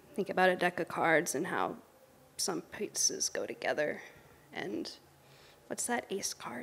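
Whispering at a fairly slow pace, a woman speaks in a nervous tone. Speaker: poet. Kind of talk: poetry reading. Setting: livestream performance. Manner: halting, unsure, nervous. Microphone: handheld.

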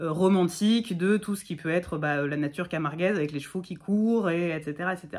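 A woman's fairly low voice at a moderate pace, with ordinary pitch variation against a quiet background. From Provence, Bouches-du-Rhône (Martigues); Provence. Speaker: content creator talking about poetry. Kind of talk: casual chat. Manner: halting, many hesitations. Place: home room. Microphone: phone near.

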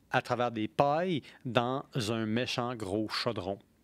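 His delivery is very slow. The recording is dry, without any echo. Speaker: podcast host on beer history and philosophy; podcast host on beer history. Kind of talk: casual chat. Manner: animated. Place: studio. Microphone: studio mic.

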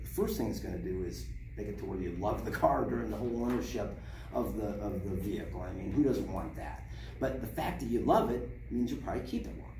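The speech moves at a very fast pace against noticeable background noise. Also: man. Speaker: car salesman. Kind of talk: sales role-play training. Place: shop. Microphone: camera far.

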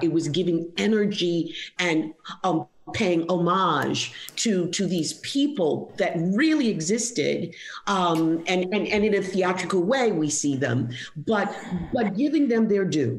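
With lively intonation and a fairly low pitch, a woman speaks at a fairly slow pace amid noticeable background noise. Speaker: dialect coach. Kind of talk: interview answer.

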